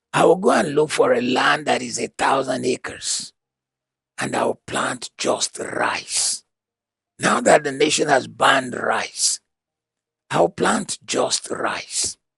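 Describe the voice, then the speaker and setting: The sound is dry and close, with no echo. The pace is very slow. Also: man. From Nigeria. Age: 70s. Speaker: motivational speaker. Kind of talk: lecture. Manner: repetitive, emphatic.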